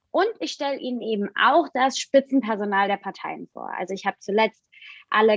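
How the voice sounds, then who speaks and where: Speaking at a moderate pace, this woman has an ordinary speaking voice with ordinary pitch variation. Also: dry, close sound with no echo. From Rhineland-Palatinate, Germany. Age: young. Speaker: journalist. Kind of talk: interview.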